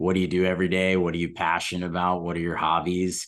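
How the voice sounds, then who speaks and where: Over a quiet background, a man with an American accent speaks at a very deep, low pitch. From US South, Atlanta. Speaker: commercial hotel loan originator. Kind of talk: casual interview chat.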